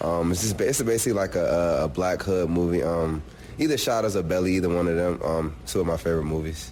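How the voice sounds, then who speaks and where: A man talks at a very fast clip with a very deep, low pitch and ordinary pitch variation. His loudness stays very even, and the room echo is audible. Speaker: college football player. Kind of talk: casual interview.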